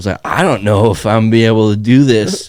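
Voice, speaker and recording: A man with a normal speaking voice and a fairly low pitch keeps to a moderate pace. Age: 20s. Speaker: podcast co-host. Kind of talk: casual chat.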